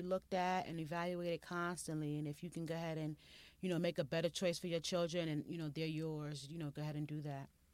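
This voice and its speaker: A woman speaks at a very fast pace and a fairly low pitch in a very clean recording with a silent background. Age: 40s. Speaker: mother and lifestyle website owner. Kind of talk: casual interview conversation.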